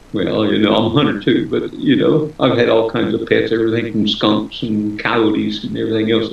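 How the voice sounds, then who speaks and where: With an American accent and a medium pitch, a man talks at a fairly quick pace amid noticeable background noise and audible room echo. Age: 70s. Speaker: author. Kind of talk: interview.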